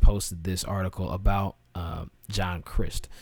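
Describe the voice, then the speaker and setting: Music plays in the background. A man with a fairly low pitch speaks at a fairly slow pace. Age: 20s. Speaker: podcast host. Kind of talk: casual solo commentary.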